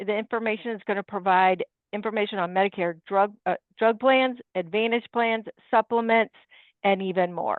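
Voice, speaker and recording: At a moderate pace and medium pitch, a woman with an unremarkable speaking voice talks with fairly even intonation. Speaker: independent insurance agent. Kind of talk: webinar presentation.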